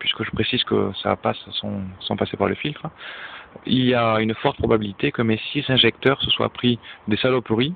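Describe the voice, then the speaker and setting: At a moderate pace, a man with a medium-pitched voice talks in a Toulouse accent and fairly even intonation. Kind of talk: casual DIY car diagnosis talk to camera.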